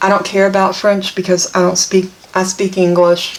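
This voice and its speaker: Over noticeable background noise, a woman speaks at a fairly quick pace with a medium pitch. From US South. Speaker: papercraft product demonstrator. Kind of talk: tutorial. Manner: casual, chatty.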